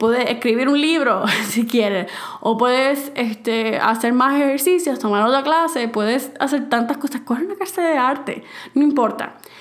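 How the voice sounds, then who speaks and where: The voice moves at a moderate pace with ordinary pitch variation. Audible room echo and noticeable background noise sit behind it. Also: woman, high pitch for a woman. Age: 20s. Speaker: podcast host. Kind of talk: advice monologue.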